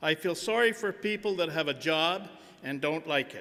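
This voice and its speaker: With a Canadian accent, a man speaks at a very slow pace in a fairly high pitch and a bright, sharp tone. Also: very clean recording, silent background. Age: 70s. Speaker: businessman and honorary degree recipient. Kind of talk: convocation speech. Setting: stage with audience.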